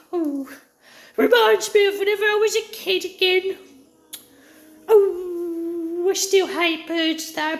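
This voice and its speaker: Using a put-on character voice with a grumpy tone, a woman talks at a fairly slow pace in an extremely high pitch. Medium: solo performance. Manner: rambling, grumpy.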